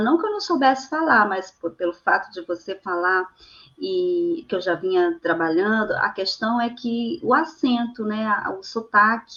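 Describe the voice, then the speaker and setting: Speaking at a fairly slow pace, a woman uses lively intonation. Her pitch sits fairly high. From Brazil, Amazonas (Tefé). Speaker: poet and translator. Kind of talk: interview. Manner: halting, many fillers.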